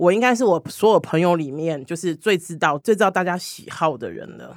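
A woman talks in an ordinary speaking voice, fairly low in pitch, with lively intonation. The recording is very clean with a silent background and a dry, close sound with no echo. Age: 40s. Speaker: LGBT hotline community director and body-positivity activist. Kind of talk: casual chat.

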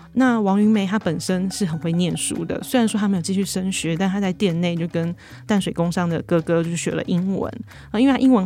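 A woman with a Taiwanese accent talks at a fairly quick pace over music in the background. Her pitch is medium, with ordinary variation. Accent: Taiwanese Mandarin. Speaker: magazine reporter hosting podcast. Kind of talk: podcast narration.

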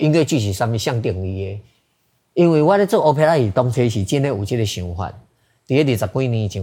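A man's medium-pitched, dark, mellow voice with a Taiwanese accent, lively intonation and a fairly quick pace, on a very clean recording with a silent background. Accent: Taiwanese Hokkien speaker. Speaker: theater director. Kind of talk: interview.

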